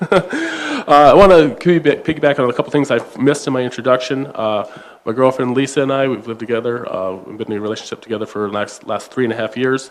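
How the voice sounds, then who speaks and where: Against noticeable background noise, a man with an Upper Midwest accent talks at a fairly quick pace. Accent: Upper Midwest American. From South Dakota. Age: 30s. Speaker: state legislator candidate. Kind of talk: political forum closing statement.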